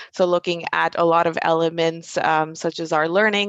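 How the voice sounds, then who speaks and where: A woman's fairly low voice, monotone and flat, in a dry, close sound with no echo. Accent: American. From Germany. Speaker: recruitment program manager. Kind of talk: panel discussion.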